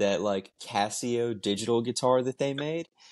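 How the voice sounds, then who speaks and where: Against a quiet background, a man uses an ordinary speaking voice at a medium pitch, speaking at a fairly slow pace with ordinary pitch variation. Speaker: band member. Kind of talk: casual chat.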